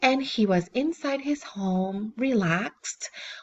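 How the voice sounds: The clip features a natural reading voice.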